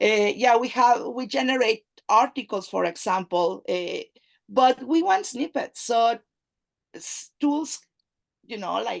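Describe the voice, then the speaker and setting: Spoken very slowly in a Spanish accent, the speech has long, frequent pauses, very wide pitch swings, and big swings in loudness. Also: woman, high pitch for a woman. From Mexico. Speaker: AI and data analytics expert, company CEO. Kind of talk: interview conversation. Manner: halting, many fillers.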